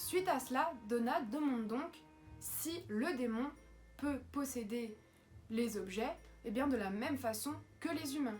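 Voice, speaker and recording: Music plays in the background as the voice moves at a very slow pace with long, frequent pauses and ordinary pitch variation. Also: woman, high pitch for a woman. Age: 20s. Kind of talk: horror story narration to camera. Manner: casual, hesitant.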